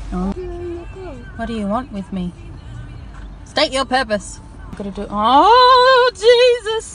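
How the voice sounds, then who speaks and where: Music plays in the background as a woman speaks at a very slow pace. Her loudness swings widely, and she leaves long, frequent pauses. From Melbourne, Australia. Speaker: mother and parenting blogger. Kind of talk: casual self-filmed live commentary. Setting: inside a car. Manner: screaming, swearing.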